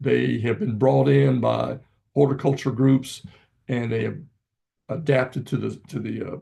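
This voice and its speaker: A Virginia accent at a moderate pace. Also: man. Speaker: gardening speaker. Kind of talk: presentation. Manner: halting.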